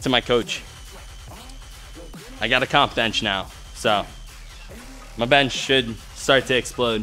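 A man talks with fairly even intonation while faint music plays in the background. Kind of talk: casual vlog chat. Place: gym.

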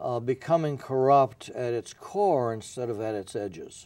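A man's dark, mellow tone at a moderate pace. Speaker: former newspaper editor, guest. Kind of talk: interview answer. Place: studio. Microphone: lapel.

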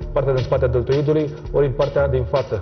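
A man talking at a fairly quick pace, with clear music in the background. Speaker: fitness trainer. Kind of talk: tutorial. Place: gym.

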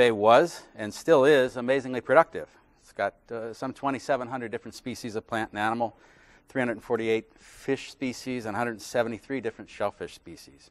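A man speaks at a moderate pace and medium pitch with fairly even intonation. His loudness swings widely. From West Virginia. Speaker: journalist; journalist giving a lecture. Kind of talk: lecture; Q&A answer. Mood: relaxed, lightly humorous. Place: hall. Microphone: lapel.

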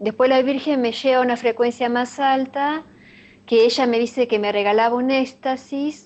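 Fairly slow speech from a woman, high in pitch, with fairly even intonation. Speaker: interviewee. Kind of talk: interview answer. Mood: earnest, devotional. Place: home room. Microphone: webcam.

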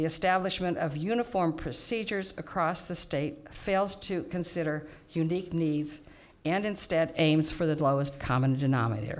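Ordinary pitch variation and a moderate pace in an unremarkable speaking voice. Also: woman, fairly low pitch for a woman. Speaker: public speaker. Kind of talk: prepared public testimony. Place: hall. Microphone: podium.

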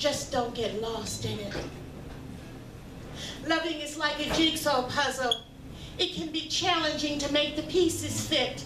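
Noticeable background noise sits behind a woman with a high pitch. She talks at a fairly slow pace with fairly even intonation. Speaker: featured poet. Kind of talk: spoken word poetry performance. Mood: reflective, earnest. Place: stage.

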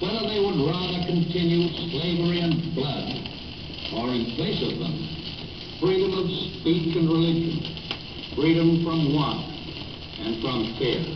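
A man with a high pitch speaks with ordinary pitch variation over noticeable background noise. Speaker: US president giving a wartime address. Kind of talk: formal wartime radio speech. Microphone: old recording.

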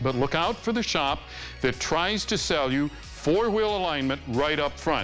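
Over faint music in the background, the speaker uses a stern tone at a fairly slow pace with very wide pitch swings. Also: man. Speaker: master car technician. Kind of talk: TV car maintenance advice segment. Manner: stern, no-nonsense. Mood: firm, no-nonsense advice. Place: garage. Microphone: lapel.

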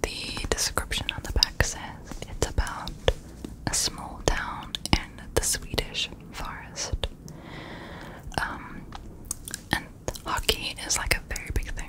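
A woman whispers at a very slow pace, with long, frequent pauses. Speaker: ASMR creator. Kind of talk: casual ASMR talk about books. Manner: whispered, soft, rambling. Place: home room. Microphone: studio mic.

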